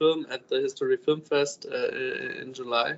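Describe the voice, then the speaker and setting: Amid noticeable background noise, a man talks at a fairly slow pace. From Germany, Upper Bavaria. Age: 20s. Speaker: film student and screenwriter. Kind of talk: interview. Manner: halting, many fillers.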